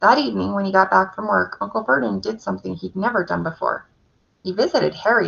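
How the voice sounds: The speaker uses a natural reading voice against a quiet background.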